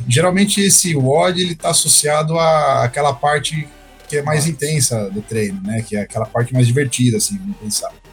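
Over music in the background, a man with a fairly high pitch talks at a fairly quick pace. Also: lively intonation. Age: 30s. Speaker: CrossFit coach and physical education teacher. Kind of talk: casual chat.

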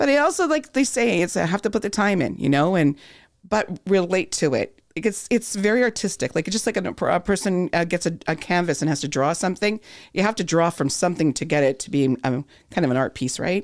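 A woman with a Canadian accent has an unremarkable speaking voice, fairly low in pitch, with lively intonation. She talks at a fairly quick pace on a very clean recording with a silent background. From Thunder Bay, northwestern Ontario, Canada. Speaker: voice coach. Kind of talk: casual chat. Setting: studio.

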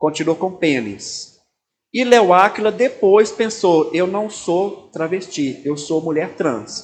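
A man at a fairly slow pace. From Brazil, Belo Horizonte, Minas Gerais. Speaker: pastor. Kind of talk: talk to church audience.

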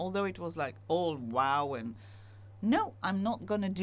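Very wide pitch swings and vocal fry, with an Israeli accent. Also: woman. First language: Hebrew. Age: 50s. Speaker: singer-songwriter. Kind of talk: interview.

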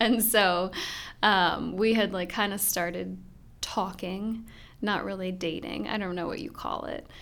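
A woman speaks at a fairly slow pace with vocal fry and fairly even intonation, with audible room echo. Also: medium pitch for a woman. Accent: American. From US Midwest. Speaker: pastor's wife and church co-founder. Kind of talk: casual interview.

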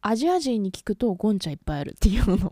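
A woman's lively intonation in a very clean recording with a silent background. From Japan. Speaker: podcast co-host. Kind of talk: casual chat.

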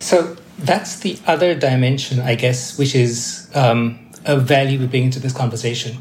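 There is noticeable background noise as a man talks at a moderate pace with hardly any pauses. His pitch is medium, with ordinary pitch variation. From Malaysia. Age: 50s. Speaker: UN development official. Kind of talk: interview.

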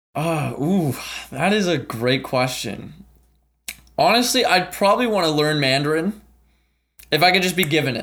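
A man with a Canadian accent talks in an animated tone at a moderate pace, his fairly high voice lively in intonation. He leaves long, frequent pauses. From Ottawa, Canada. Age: 20s. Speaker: travel content creator. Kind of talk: podcast interview.

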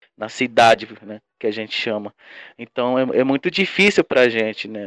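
Recorded with a dry, close sound with no echo and a quiet background, a man speaks at medium pitch with ordinary pitch variation. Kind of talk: interview. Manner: halting, with repetitions.

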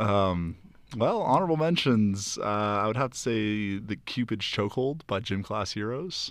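A man with an American accent speaks at a moderate pace in an ordinary speaking voice, his fairly low pitch showing ordinary variation against a quiet background. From South Florida. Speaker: college student. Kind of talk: casual chat.

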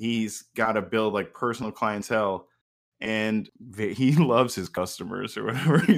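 A man with a normal speaking voice and fairly low pitch talks at a moderate pace with ordinary pitch variation, on a very clean recording with a silent background. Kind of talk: casual chat. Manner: joking.

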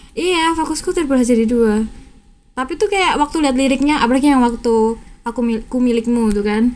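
Noticeable background noise sits behind a woman who speaks at a high pitch with ordinary pitch variation. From Java, Indonesia. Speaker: student podcast host. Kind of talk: casual chat. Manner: animated.

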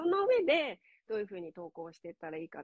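A woman speaks at a very fast pace. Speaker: online course instructor and Instagram coach. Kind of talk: casual interview. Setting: live stream.

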